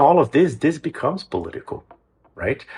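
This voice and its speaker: On a very clean recording with a silent background, a man with a Brazilian Portuguese accent sounds somewhat breathy. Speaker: music program executive director, composer. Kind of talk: interview. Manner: some hesitations and repeated words.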